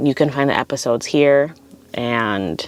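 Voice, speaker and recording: A woman speaks in a relaxed tone. Music plays in the background. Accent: Californian. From California. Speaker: podcast host. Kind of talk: casual podcast monologue. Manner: relaxed, filler words like 'um' and 'like'.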